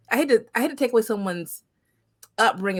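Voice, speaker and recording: This very clean recording with a silent background carries a voice with very wide pitch swings. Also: woman. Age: 40s. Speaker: podcast host. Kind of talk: podcast interview.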